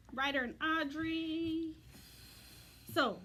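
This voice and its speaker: A woman with an American accent projects a raised voice, high in pitch and bright and sharp in tone, with fairly even intonation. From United States. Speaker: craft demonstrator. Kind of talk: tutorial. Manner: fast.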